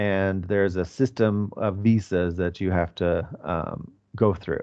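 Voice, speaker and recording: The speaker has an American accent. Their intonation stays fairly even. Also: man. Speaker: English teacher. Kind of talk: lecture. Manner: slow, clear teaching delivery.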